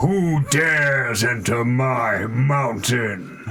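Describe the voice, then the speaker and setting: This is a put-on character voice, booming in sound. It moves at a very slow pace. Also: man, medium pitch for a man. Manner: commanding, menacing.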